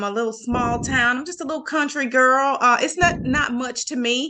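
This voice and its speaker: There is noticeable background noise as a woman with a Louisiana accent speaks in a raised, projected voice. Her pitch is high, with ordinary variation. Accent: Southern US (Louisiana). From Louisiana, near Vicksburg, Mississippi. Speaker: Marine veteran. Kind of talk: interview. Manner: halting, many fillers.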